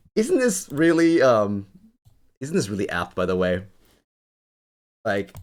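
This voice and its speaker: Loud and medium in pitch, a man speaks at a fairly slow pace with long, frequent pauses and very wide pitch swings. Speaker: crypto livestreamer. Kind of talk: live stream commentary. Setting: home studio with foam. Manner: animated.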